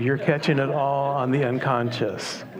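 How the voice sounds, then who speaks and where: At a fairly slow pace, a man with a fairly high pitch speaks in a calm, soothing tone with fairly even intonation. Noticeable background noise and audible room echo surround him. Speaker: minister. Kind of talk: sermon.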